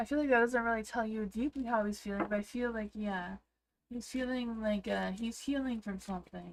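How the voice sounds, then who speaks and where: A woman with a Canadian accent, fairly high pitch, ordinary pitch variation and a moderate pace, in a very clean recording with a silent background. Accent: Canadian, noticed by viewers. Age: 40s. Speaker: tarot reader. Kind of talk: livestream tarot reading. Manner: hesitant, many fillers; sounds younger than her age.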